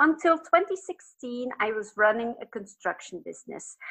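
Using a raised, projected voice with a bright, sharp tone, a woman with a Flemish accent speaks at a fairly slow pace while her pitch swings very widely. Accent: Flemish Dutch accent in English. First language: Dutch. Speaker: business and life coach. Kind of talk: podcast interview. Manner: occasionally searching for words.

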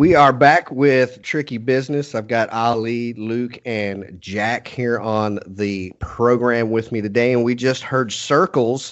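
In a Texan accent, a man with a medium pitch speaks at a fairly slow pace with ordinary pitch variation. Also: hardly any pauses. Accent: Texan American. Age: 40s. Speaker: podcast host. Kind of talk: casual interview chat.

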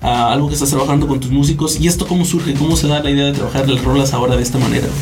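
There is audible room echo and noticeable background noise behind this man. He speaks very fast at a fairly high pitch, with a central Mexican accent. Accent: Mexican Spanish (central Mexico). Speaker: podcast host. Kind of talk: casual chat. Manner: animated.

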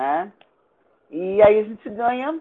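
Using lively intonation, a woman with fairly high pitch speaks at a fairly slow pace. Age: 60s. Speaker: Afro-Brazilian religious priestess and cultural activist. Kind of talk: interview testimony.

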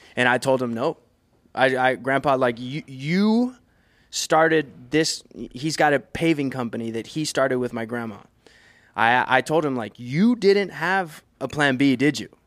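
In a very clean recording with a silent background, a man with an American accent uses an ordinary speaking voice, speaking at a fairly slow pace with a medium pitch and ordinary pitch variation. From Brownsville, Texas. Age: 30s. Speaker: professional drummer. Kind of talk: casual chat. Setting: studio.

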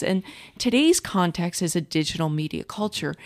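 A woman with an unremarkable speaking voice and an American accent talks at a moderate pace with lively intonation. The sound is dry and close, with no echo. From US Midwest, St. Louis, Missouri. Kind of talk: interview.

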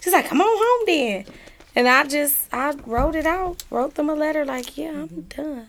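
There is noticeable background noise behind the speaker. A woman with a high pitch talks at a moderate pace. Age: 30s. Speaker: author. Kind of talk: casual interview.

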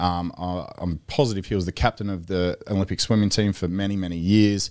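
Over a very clean recording with a silent background, a man with a very deep, low pitch speaks at a fairly quick pace with fairly even intonation and an Australian accent. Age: 30s. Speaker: Olympic swimmer and strength coach. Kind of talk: casual chat. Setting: studio.

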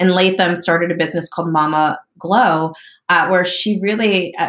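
A woman with an American accent uses an ordinary speaking voice at medium pitch and moderate pace, with fairly even intonation. The recording is very clean, with a silent background. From US Northeast, southern New Jersey. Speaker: entrepreneur and marketing agency founder. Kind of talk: interview.

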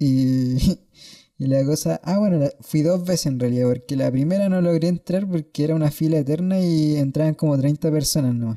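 A dark, mellow tone in a Chilean accent, moderate in pace with ordinary pitch variation and very even loudness, dry and close with no echo. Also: man, fairly high pitch for a man. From Chile, Santiago (Peñalolén). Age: 20s. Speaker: nurse, podcast co-host. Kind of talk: casual chat.

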